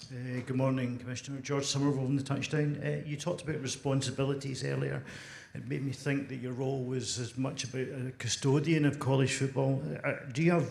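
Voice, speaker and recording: With a Scottish accent, a man of medium pitch speaks at a fairly quick pace in a somewhat breathy, monotone, flat delivery, with audible room echo. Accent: Scottish brogue. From Scotland. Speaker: sports journalist. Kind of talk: press conference question.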